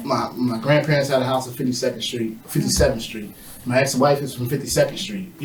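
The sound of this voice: A man's medium-pitched voice at a very fast pace with ordinary pitch variation, against noticeable background noise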